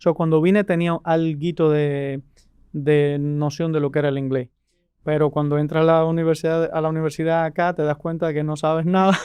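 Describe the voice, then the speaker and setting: Speaking at a fairly quick pace with a Cuban accent, this man has a fairly high pitch, a dark, mellow tone and monotone, flat intonation. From rural Cuba. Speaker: immigration lawyer. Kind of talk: interview. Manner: halting, many restarts.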